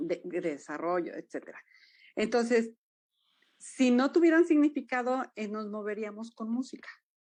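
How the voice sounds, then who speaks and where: The speaker talks with a Jalisco accent. The background is quiet. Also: woman. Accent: Jalisco Mexican, sing-song. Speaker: dance movement therapist. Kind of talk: interview conversation.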